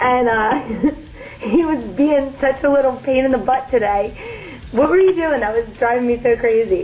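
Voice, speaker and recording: A high-pitched woman with an American accent, ordinary pitch variation and a moderate pace, over noticeable background noise. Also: very even loudness. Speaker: new wife on honeymoon, co-speaker. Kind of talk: casual chat. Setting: hotel room in Dubai.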